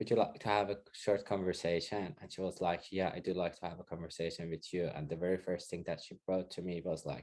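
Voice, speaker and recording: Delivered fairly quickly in a Persian accent, the speech has a monotone, flat intonation. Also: man. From Iran. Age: 40s. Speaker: interviewee sharing experiences of racism. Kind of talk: casual interview.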